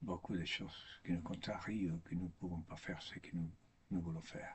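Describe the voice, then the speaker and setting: A man with a non-native accent speaks at a moderate pace in a very deep, low voice that is somewhat breathy and monotone, with flat intonation. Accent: foreign accent in French, makes mistakes. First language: not French (speaking French). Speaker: priest or religious speaker. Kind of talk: spiritual talk. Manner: halting, with repetitions.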